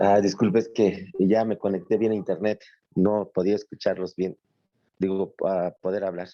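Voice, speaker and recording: A man talks with a central Mexican accent in a monotone, flat intonation. His tone is dark and mellow, and the sound is dry and close with no echo. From Mexico City. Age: 50s. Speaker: adult student. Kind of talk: class introduction on video call. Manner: halting, many fillers.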